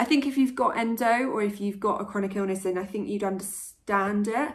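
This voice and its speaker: A woman with a British accent sounds somewhat breathy, with ordinary pitch variation. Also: medium pitch for a woman, fairly quick pace. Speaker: vlogger. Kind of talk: vlog.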